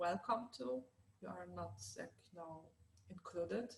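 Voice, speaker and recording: A woman with a Polish accent and vocal fry, moving at a moderate pace through very wide pitch swings. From southern Poland, small city near Krakow. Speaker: LGBT+ activist. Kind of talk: panel discussion. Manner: halting, many fillers.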